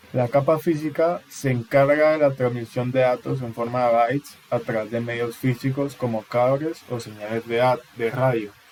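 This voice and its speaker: Over noticeable background noise, a man speaks at a medium pitch and moderate pace with fairly even intonation and hardly any pauses. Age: 20s. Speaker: university student. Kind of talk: class presentation. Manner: halting.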